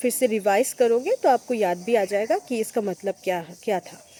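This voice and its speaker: In a Bengali accent, a woman with a fairly high pitch and a dark, mellow tone speaks in a dry, close sound with no echo. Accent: Bengali-accented Hindi. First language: Bengali (speaking Hindi). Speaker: exam-prep vlogger, bank job aspirant. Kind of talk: casual tutorial vlog. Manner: halting, with many fillers.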